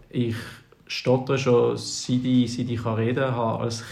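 Audible room echo hangs on the recording. The voice belongs to a man. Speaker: podcast co-host. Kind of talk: casual chat.

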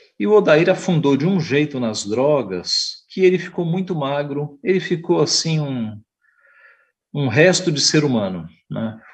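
A man with a fairly high, somewhat breathy voice talks at a fairly slow pace with lively intonation. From Brazil, São Paulo (east zone). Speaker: pastor. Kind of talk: Sunday school lesson. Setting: online church broadcast.

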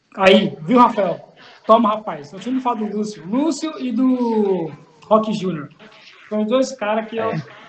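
Noticeable background noise accompanies a fairly slow delivery. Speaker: podcast co-host. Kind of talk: casual interview chat. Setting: video call.

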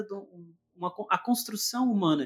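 Ordinary pitch variation marks this man's high-pitched speech. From interior of Minas Gerais, Brazil. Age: 20s. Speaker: podcast host. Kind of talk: casual chat.

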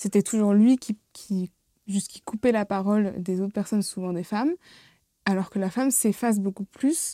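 A woman speaks at a moderate pace in a plain, everyday voice of medium pitch. The recording is very clean and dry, close, with a silent background and no echo. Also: ordinary pitch variation. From Seine-et-Marne, France. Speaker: drama student. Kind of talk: casual chat.

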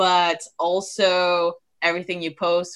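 A woman's bright, sharp voice over a quiet background. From moved to US at 13. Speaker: podcast host. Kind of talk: interview conversation.

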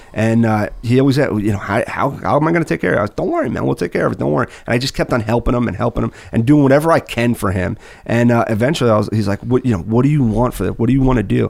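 Using vocal fry, a man with an American accent talks at a very fast pace and a medium pitch with ordinary pitch variation. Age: 30s. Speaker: construction business executive. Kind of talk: casual chat.

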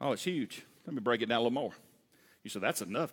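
A man's medium-pitched voice with lively intonation, in a very clean recording with a silent background. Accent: Southern US. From US South. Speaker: pastor. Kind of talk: sermon. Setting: church. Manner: fast talker; animated, folksy, laughs often.

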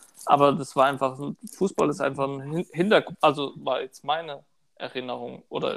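Fairly high-pitched, a plain, everyday voice from a man at a moderate pace. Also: fairly even intonation. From Odenwald, southern Hesse (Birkenau). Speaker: podcast host. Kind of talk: casual chat.

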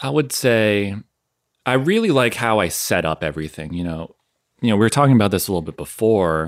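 With lively intonation and a fairly quick pace, a man speaks in a plain, everyday voice at a fairly low pitch. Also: very clean recording, silent background. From US Northeast, southern Maine. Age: 30s. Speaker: massage therapist and fitness content creator. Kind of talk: casual interview chat.

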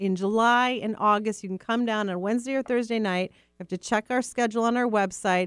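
In an unremarkable speaking voice, a woman speaks with an American accent and fairly even intonation. The recording is very clean, with a silent background. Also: fairly high pitch for a woman. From US, Rochester New York. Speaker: museum executive director. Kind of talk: radio interview. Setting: radio studio.

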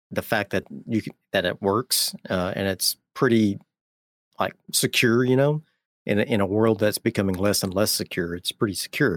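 In a dry, close sound with no echo, a man speaks at a moderate pace and fairly low pitch, with ordinary pitch variation in an unremarkable speaking voice. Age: 40s. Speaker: gaming YouTuber. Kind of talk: casual chat. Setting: video call.

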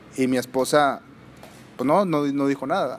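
A man speaks at a moderate pace in a medium pitch. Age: 30s. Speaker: mixed martial arts fighter and coach. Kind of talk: casual interview.

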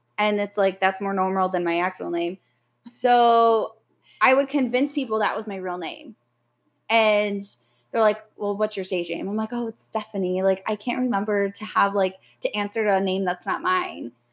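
A woman has a plain, everyday voice with medium pitch and ordinary pitch variation. She speaks at a moderate pace on a very clean recording with a silent background. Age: 20s. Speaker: hairstylist. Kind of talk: casual chat; testimony. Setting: sitting on a friend's floor by the fireplace.

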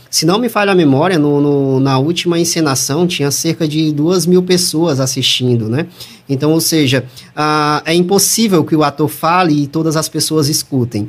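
A man with a fairly high voice at a moderate pace, loudness very even and pitch varying in an ordinary way, with music in the background. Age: 30s. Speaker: audio producer and voice-over announcer. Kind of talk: interview.

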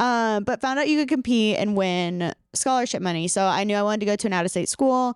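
A woman talks at a very fast pace with hardly any pauses, her fairly high voice animated and upbeat, showing ordinary pitch variation and very even loudness in a very clean recording with a silent background. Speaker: scientist and YouTube content creator. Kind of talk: casual chat interview. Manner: animated, upbeat.

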